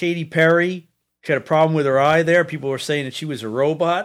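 This man has an unremarkable speaking voice, fairly high in pitch. He talks fairly quickly with ordinary pitch variation. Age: 50s. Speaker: podcast co-host. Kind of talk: casual chat.

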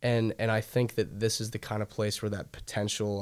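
In a very clean recording with a silent background, a man with an American accent and an unremarkable speaking voice talks at a fairly low pitch and a fairly quick pace, his intonation fairly even. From Northern Virginia, DC suburbs. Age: young. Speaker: singer-songwriter. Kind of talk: casual interview.

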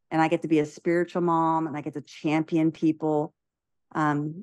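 A woman's very deep, low voice at a moderate pace, with fairly even intonation over a quiet background. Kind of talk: faith-based podcast discussion, closing prayer.

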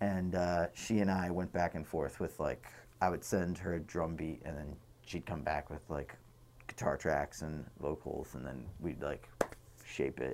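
With an American accent and vocal fry, a man speaks at a very deep, low pitch. His pitch variation is ordinary and his pace fairly slow. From Boston. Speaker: musician. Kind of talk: casual chat. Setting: dye studio.

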